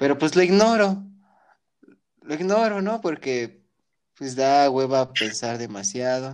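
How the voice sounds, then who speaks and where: Using very wide pitch swings, a man with a fairly high pitch talks at a very slow pace with long, frequent pauses. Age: 20s. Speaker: podcast co-host. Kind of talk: casual chat.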